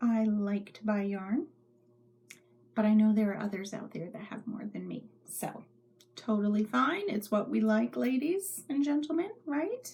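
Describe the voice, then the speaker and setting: This woman's voice is fairly high, somewhat breathy and dark and mellow in tone. She speaks at a fairly slow pace with big swings in loudness. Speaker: knitting podcaster. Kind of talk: casual chat. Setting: home craft room.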